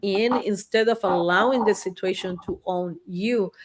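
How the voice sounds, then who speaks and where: A woman with a Spanish accent speaks at a fairly slow pace. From Argentina, Buenos Aires. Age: 60s. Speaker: therapist. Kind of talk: interview chat.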